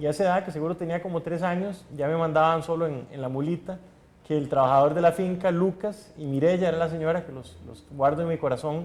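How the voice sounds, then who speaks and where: A man with a Costa Rican accent speaks at a fairly quick pace and a high pitch. His intonation stays fairly even while his loudness swings widely. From Costa Rica, Guanacaste. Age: 40s. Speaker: political candidate. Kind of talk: interview.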